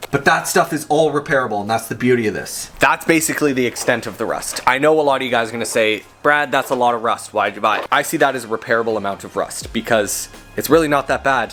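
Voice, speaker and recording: Words come at a very fast pace with ordinary pitch variation. Background noise is noticeable. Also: man, medium pitch for a man. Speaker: car project vlogger. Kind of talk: casual garage vlog.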